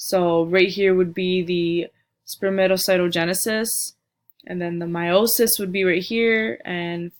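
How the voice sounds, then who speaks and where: A woman talks in a medium pitch. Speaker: student giving a class presentation. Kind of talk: recorded slide presentation. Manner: halting, with frequent fillers and restarts.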